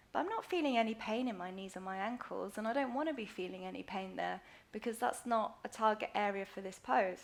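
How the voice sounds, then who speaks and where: Against noticeable background noise, a woman of medium pitch talks at a fairly quick pace. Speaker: yoga teacher. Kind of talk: live online yoga tutorial. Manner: fast.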